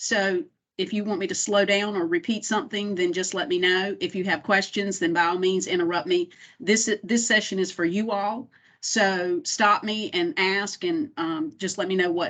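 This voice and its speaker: A woman talks in a normal speaking voice at a medium pitch. Her pace is moderate. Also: quiet background. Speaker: compliance director at a state college system. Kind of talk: training presentation.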